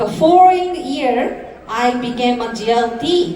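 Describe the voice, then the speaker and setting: Over noticeable background noise and audible room echo, a woman with a Japanese accent speaks at a very slow pace with very wide pitch swings. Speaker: network marketing entrepreneur. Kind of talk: motivational speech. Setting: stage with audience. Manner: careful, deliberate English.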